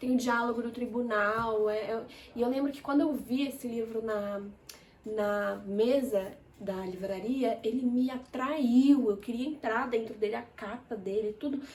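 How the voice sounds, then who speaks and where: Audible room echo around a woman's fairly high-pitched voice. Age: 20s. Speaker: book reviewer. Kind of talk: casual chat. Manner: animated.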